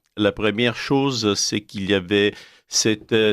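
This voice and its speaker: A man speaks with an Italian accent at a fairly low pitch. The recording is very clean, with a silent background. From Italy. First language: Italian (speaking French). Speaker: essayist. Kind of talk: radio interview. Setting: radio studio. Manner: halting.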